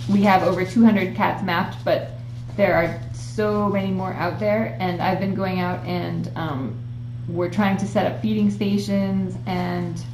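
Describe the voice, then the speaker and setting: Against noticeable background noise and audible room echo, a woman with an American accent speaks at a fairly slow pace. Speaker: animal rescue livestreamer. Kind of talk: casual livestream chat. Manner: many fillers (um).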